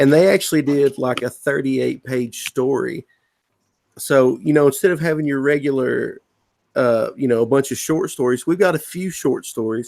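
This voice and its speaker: Speaking in a Southern US accent, the man's voice sits fairly high. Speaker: comic book writer. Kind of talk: casual chat. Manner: halting, with repeated words.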